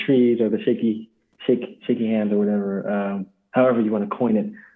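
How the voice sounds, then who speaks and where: At a moderate pace, a man talks with a medium pitch. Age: 20s. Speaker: actor and writer, drama student. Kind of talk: casual chat. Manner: soft-spoken. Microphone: connection cut out.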